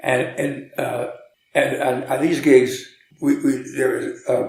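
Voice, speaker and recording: A man at a very slow pace, with audible room echo. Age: 80s+. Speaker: jazz musician and teacher. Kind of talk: interview. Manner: halting, with many repetitions.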